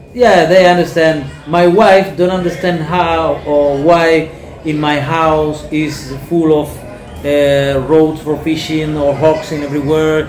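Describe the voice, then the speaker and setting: With a Spanish accent, a man with a fairly high pitch speaks very slowly and with fairly even intonation, against music in the background and audible room echo. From Cuba, Cienfuegos province. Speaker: painter and fisherman. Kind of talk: interview. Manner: halting, hesitant.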